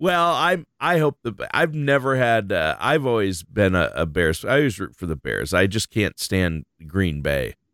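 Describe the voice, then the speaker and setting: In a very clean recording with a silent background and a dry, close sound without echo, a man speaks at a fairly low pitch. He goes at a fairly slow pace with hardly any pauses, and his pitch swings very widely. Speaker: radio co-host. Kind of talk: casual chat.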